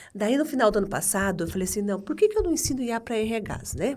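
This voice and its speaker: A woman's dark, mellow voice at a moderate pace, with very wide pitch swings. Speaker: HR entrepreneur. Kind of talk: casual interview.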